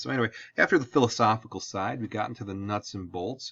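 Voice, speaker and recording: Against a quiet background, a man with a strong Midwestern accent talks at a fairly quick pace and a fairly low pitch. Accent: thick Midwestern US. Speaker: high school history teacher. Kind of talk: lecture. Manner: casual, conversational.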